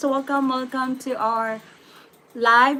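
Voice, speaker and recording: A woman speaks with a Filipino accent. Her pace is fairly slow. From Philippines. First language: Tagalog or Bisaya. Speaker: YouTube live streamer. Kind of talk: live stream Q&A. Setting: YouTube live stream. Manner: hesitant, many fillers.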